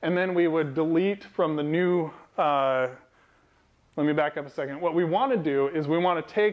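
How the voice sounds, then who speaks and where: A man with fairly high pitch and ordinary pitch variation, against a quiet background. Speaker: software developer and meetup speaker; speaker. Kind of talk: technical talk to a live audience. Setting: meetup event with audience. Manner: fast. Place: meeting room. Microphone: lapel.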